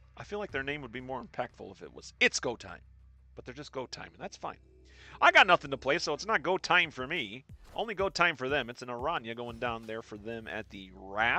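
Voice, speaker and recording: A man with lively intonation and big swings in loudness, music playing in the background. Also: medium pitch for a man, fairly quick pace. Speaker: gaming streamer. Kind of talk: live gameplay commentary.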